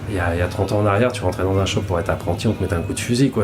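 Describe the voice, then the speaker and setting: There is audible room echo and noticeable background noise as a man speaks. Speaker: tattoo artist. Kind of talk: podcast interview. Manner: fast; halting, many repetitions.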